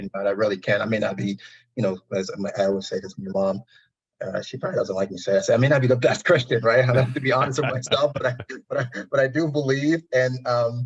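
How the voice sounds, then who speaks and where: Somewhat breathy, a man talks at a very fast pace. His pitch is medium, with ordinary variation. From Liberia. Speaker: mental health advocate. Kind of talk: interview answer.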